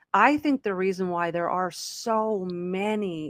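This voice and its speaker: In a dry, close recording with no echo, a woman of medium pitch speaks with fairly even intonation in an unremarkable speaking voice. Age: 50s. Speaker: podcast host. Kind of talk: casual chat.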